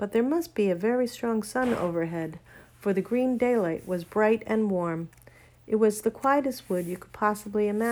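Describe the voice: The text is given as plain reading aloud.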